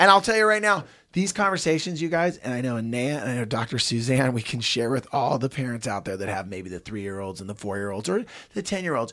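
A man's very fast, animated speech at a medium pitch, with very wide pitch swings and a bright, sharp tone, in a very clean recording with a silent background. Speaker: podcast host. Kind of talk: casual chat. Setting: studio.

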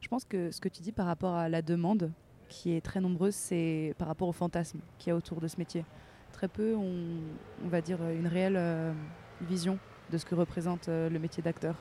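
Speaking at a moderate pace in a flat monotone, a woman with a fairly low, dark and mellow voice leaves long, frequent pauses. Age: 20s. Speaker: actress. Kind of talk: casual chat. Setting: outdoors.

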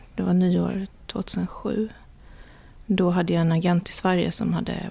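A woman speaks at a moderate pace. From Sweden. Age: 40s. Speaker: illustrator. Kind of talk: interview. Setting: her studio.

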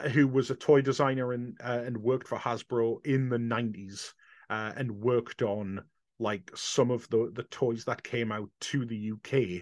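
In an English accent, a man speaks at a moderate pace with fairly even intonation, the sound dry and close with no echo. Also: medium pitch for a man, quiet background. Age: 40s. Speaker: convention organiser. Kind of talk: casual chat.

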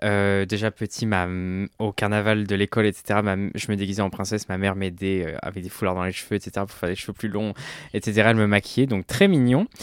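Fairly low-pitched and fairly quick, a man with an unremarkable speaking voice talks with fairly even intonation in a very clean, silent recording with a dry, close sound and no echo. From France, Ardèche. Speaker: drag queen. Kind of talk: casual chat.

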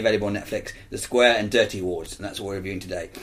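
A man is speaking. He talks at a very fast pace. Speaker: film podcast co-host. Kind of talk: casual chat.

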